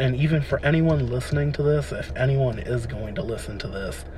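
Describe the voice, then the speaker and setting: A man talks with an American accent. Audible room echo and noticeable background noise surround his voice. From Delaware, US East Coast. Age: 20s. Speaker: podcaster. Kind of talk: personal monologue. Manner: hesitant, many fillers.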